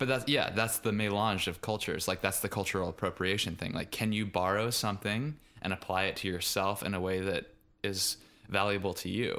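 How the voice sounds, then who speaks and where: A man's fairly low, bright, sharp voice with an American accent at a fairly quick pace, fairly even intonation and a very clean recording with a silent background. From US South, Richmond, Virginia. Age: 20s. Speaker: yoga teacher and podcaster. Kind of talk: casual interview.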